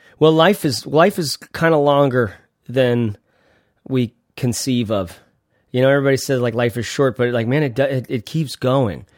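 The man's pitch sits at a medium level and varies in an ordinary way. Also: moderate pace. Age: 30s. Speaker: podcast host. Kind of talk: casual interview chat. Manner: animated.

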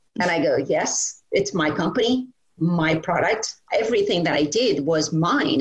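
A woman with a fairly low pitch speaks at a moderate pace, her pitch swinging very widely while her loudness stays very even. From India, Calcutta. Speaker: tech startup founder. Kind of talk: interview.

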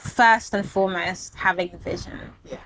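This woman talks at a fairly slow pace with a bright, sharp tone, a medium pitch and ordinary pitch variation. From Germany and England, Ghanaian heritage. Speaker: writer, filmmaker and art historian. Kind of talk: interview. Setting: guest's space in Accra.

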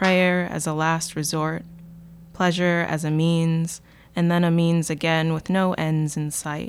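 The delivery is fairly slow. Its intonation stays flat and monotone. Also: woman, fairly low pitch for a woman. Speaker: podcast co-host. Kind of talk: reading aloud.

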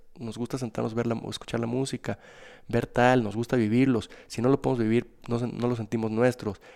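The recording is very clean, with a silent background. A man speaks at a fairly quick pace in a dark, mellow tone of medium pitch, with monotone, flat intonation. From Mexico, Guadalajara. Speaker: restaurant and nightlife entrepreneur. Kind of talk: interview.

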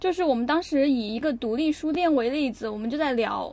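Her voice is high-pitched, and this woman's pitch varies in an ordinary way. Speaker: podcast co-host. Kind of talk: casual chat.

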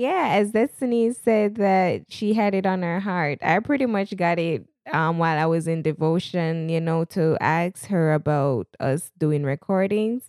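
With a Jamaican accent and lively intonation, the speaker goes at a fairly slow pace at a very even loudness, in a dry, close sound with no echo on a very clean recording with a silent background. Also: woman, fairly low pitch for a woman. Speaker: podcast host. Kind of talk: casual chat. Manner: hyper, animated.

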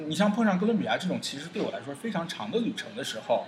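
Very fast speech from a man, with noticeable noise behind it. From China. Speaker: traveller. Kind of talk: interview. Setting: indoor cafe. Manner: hesitant fillers.

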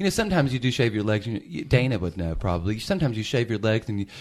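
A man with a Southern US accent talks at a very fast pace, his pitch medium. The recording is very clean, with a silent background. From Memphis, Tennessee. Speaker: drag performer and podcast host. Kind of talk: casual chat.

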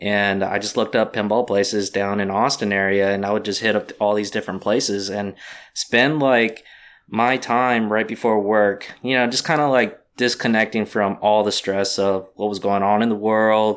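A plain, everyday voice at a moderate pace, with fairly even intonation, in a very clean recording against a silent background. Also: man, fairly low pitch for a man. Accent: American. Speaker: pinball lounge owner. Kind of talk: casual interview.

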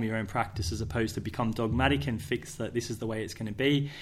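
Speaking fairly quickly with an Australian accent, a man uses a medium pitch and ordinary pitch variation. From Australia, southwest Sydney. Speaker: PE teacher and school sports head. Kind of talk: casual interview chat. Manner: hesitant, many fillers.

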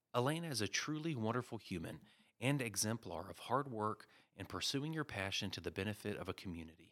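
In a very clean recording against a silent background, a man uses an ordinary speaking voice with lively intonation at a fairly quick pace. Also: fairly low pitch for a man. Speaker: podcast host. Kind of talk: casual chat.

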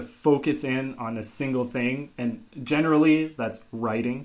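Speaking at a fairly slow pace, a man with a normal speaking voice keeps a medium pitch and fairly even intonation. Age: 30s. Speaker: podcast co-host, iOS developer. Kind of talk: casual chat.

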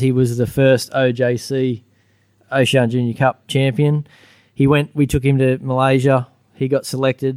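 A man with an Australian accent, medium pitch and monotone, flat intonation at a moderate pace, on a very clean recording with a silent background. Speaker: former motorcycle racer, junior racing coach. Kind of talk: live podcast recording with audience. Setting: stage with audience.

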